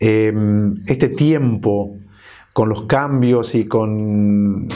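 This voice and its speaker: With an Argentine accent, a man talks at a medium pitch with ordinary pitch variation, and audible room echo surrounds his voice. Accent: Argentine Spanish (rioplatense voseo). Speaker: priest and TV host. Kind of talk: TV interview. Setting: TV studio.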